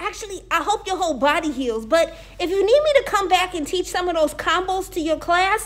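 At an extremely high pitch, a woman speaks at a moderate pace. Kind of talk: comedic sketch dialogue. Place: gym. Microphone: phone near.

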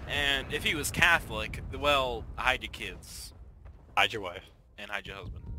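Using a bright, sharp tone with vocal fry, a man talks at a fairly slow pace and medium pitch, with lively intonation and big swings in loudness. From Canada. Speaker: gamer. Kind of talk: casual chat. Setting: voice chat.

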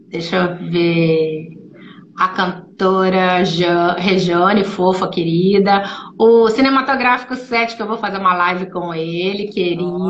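The speaker talks at a very slow pace with ordinary pitch variation. There is audible room echo and light background noise. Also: woman. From Brazil, born in São Paulo, long in Rio. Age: 50s. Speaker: actress and voice actress; actress, voice actress. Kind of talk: casual live-stream interview. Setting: video call. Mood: warm, animated storytelling. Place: home room.

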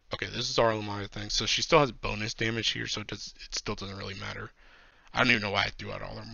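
A man speaks with music in the background. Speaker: game content creator. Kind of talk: casual gameplay commentary. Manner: quieter than usual, late-night.

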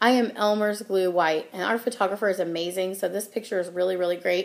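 A woman is talking. Her accent is American. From US Midwest. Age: 30s. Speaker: channel host. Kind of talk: casual vlog monologue. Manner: casual with many filler ums. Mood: friendly, self-deprecating humor. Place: home room. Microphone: webcam.

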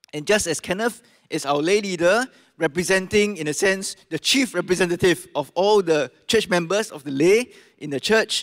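A high-pitched man speaks at a moderate pace with ordinary pitch variation. The background is quiet. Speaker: pastor introducing guest speaker. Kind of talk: speaker introduction to congregation. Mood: warm, smiling. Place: church. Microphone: handheld.

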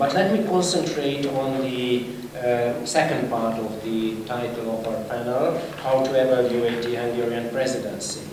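Noticeable background noise and audible room echo surround this man's voice. His pitch variation is ordinary. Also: moderate pace. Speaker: speaker. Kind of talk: conference panel talk. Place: hall. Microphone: podium.

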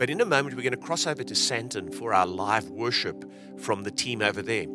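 Over clear background music, a man talks at a fairly quick pace, the sound dry with no echo. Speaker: church pastor. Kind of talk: service welcome address. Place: hall. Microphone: handheld.

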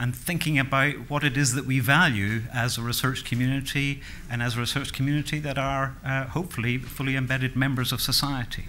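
Monotone, flat intonation from a man, light background noise behind. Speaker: conference speaker. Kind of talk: lecture. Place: hall. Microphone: podium.

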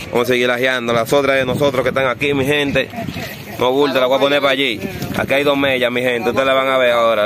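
A speaker with a Dominican accent talks at a very fast pace with very even loudness. The sound is dry with no echo, though background noise is noticeable. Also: man. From Dominican Republic. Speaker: kite-flying video creator. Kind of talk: live commentary. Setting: outdoors. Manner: animated.

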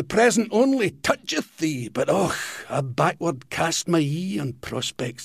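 In a Scottish accent, a man speaks very slowly with lively intonation and a somewhat breathy voice. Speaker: comedian. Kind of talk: poetry reading.

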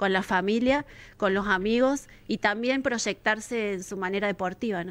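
At a moderate pace, a woman uses an unremarkable speaking voice, fairly high in pitch, with ordinary pitch variation. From Argentina, Villa Carlos Paz, Córdoba; Córdoba, Argentina. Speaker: local council president. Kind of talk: interview. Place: studio. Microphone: studio mic.

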